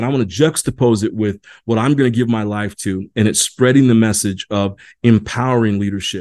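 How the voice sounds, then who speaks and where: A man's animated voice in an American accent, medium in pitch, at a very fast pace against a quiet background. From US Midwest, Indiana. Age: 40s. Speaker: university lecturer. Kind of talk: recorded lecture. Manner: animated, with frequent repetitions.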